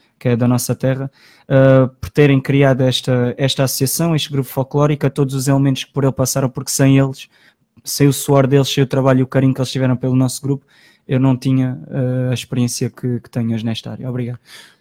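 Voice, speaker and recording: Very fast and monotone, with a flat intonation, a man at a medium pitch speaks in a dark, mellow tone with big swings in loudness, in a dry, close sound with no echo and a very clean recording over a silent background. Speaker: studio commentator, folk group president. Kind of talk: radio panel chat. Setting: radio studio.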